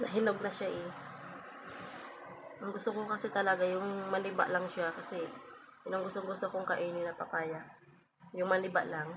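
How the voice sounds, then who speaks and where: Flat, monotone speech from a woman at medium pitch, at a fairly quick pace with long, frequent pauses and noticeable background noise. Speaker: vlogger. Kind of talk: casual vlog talk. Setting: at home, just woke up.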